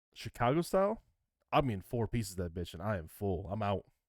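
A man with an American accent at a fairly low pitch and moderate pace, in a dry, close sound with no echo, on a very clean recording with a silent background. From Michigan. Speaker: podcast co-host. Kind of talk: casual chat; news reading.

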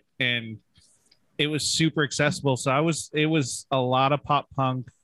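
This very clean recording with a silent background has a dry, close sound with no echo, as a man talks at medium pitch with fairly even intonation. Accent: American. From Southern California. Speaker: music teacher and musician. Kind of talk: casual interview chat. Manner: casual, with frequent fillers.

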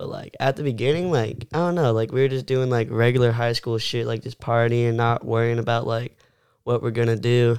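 A man in an American accent with a normal speaking voice, medium pitch, fairly even intonation and a fairly quick pace. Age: 18. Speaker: content creator and skateboarder. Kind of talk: casual chat.

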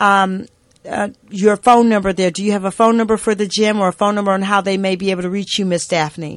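A woman with an ordinary speaking voice talks at a medium pitch. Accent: American. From US South. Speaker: radio host. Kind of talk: radio interview, warm and faith-filled. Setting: radio studio, guest on phone. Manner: warm, effusive, encouraging.

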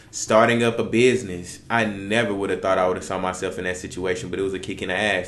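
A man talking at a very fast pace in a monotone, flat intonation, with audible room echo. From Texas (Houston area). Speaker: barber, podcast co-host. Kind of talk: casual chat. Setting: barbershop.

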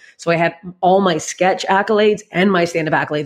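This woman speaks with a Canadian accent. Her pitch varies in an ordinary way. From Canada, Toronto. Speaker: stand-up comedian. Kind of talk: casual chat. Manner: animated.

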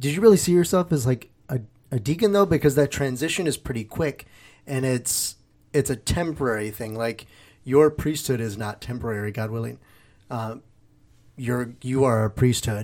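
Here is a man with an unremarkable speaking voice at medium pitch and a moderate pace. His pitch variation is ordinary, and the recording is very clean with a silent background. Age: 20s. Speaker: podcast host, former teacher. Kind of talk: casual chat.

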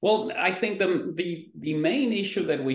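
A man's moderate-paced speech, with ordinary pitch variation, comes with audible room echo. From Mexico. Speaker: pollster and newspaper columnist. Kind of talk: interview.

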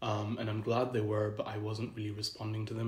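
A man talking very fast in a somewhat breathy, monotone, flat voice. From Scotland. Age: 20s. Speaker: civil servant. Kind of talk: casual chat.

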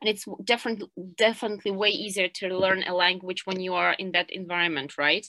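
At a very fast pace, a woman talks at a medium pitch with fairly even intonation. The sound is dry and close, with no echo. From Ukraine, Kyiv. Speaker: English teacher. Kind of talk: interview.

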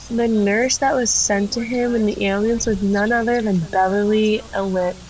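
With noticeable background noise, a woman talks at a moderate pace and a medium pitch in a fairly even intonation. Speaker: podcast co-host. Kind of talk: casual chat with story reading; reading aloud. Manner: flat, monotone storytelling.

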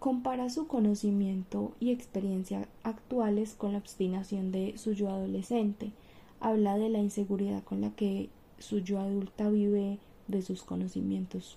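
A woman's somewhat breathy, medium-pitched voice with a dark, mellow tone and very even loudness. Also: fairly even intonation, fairly slow pace. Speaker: university student. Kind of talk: oral presentation.

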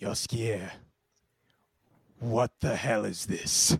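A man puts on a character voice at medium pitch. It sounds gruff and raspy. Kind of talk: deadpan comic drama. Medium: audio drama. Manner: gruff, curt, terse.

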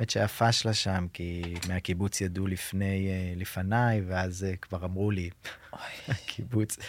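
Very deep and low, a man's voice moves at a fairly slow pace with monotone, flat intonation in a very clean recording with a silent background. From Israel, kibbutz in the south. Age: 30s. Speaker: social worker. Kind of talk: interview, personal testimony. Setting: studio. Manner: halting.

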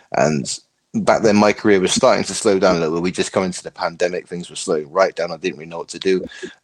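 A man with a British accent at a very fast pace, in a dry, close sound with no echo. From England, between London and Bristol. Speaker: podcast guest, content creator and influencer. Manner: fast talker.

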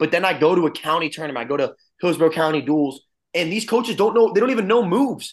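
A man at a fast pace, his pitch fairly high. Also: ordinary pitch variation.

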